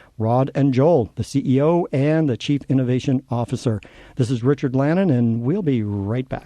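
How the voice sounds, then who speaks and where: A man's medium-pitched voice with a dark, mellow tone, at a moderate pace, dry and close with no echo against a quiet background. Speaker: radio host. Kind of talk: radio interview. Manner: slight stutter.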